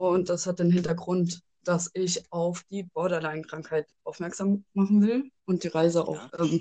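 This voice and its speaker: A woman speaks very slowly at a fairly low pitch, her tone dark and mellow and her intonation fairly even, in a dry, close sound with no echo. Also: quiet background. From Rhein-Main area, Germany. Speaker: geocacher. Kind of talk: casual interview.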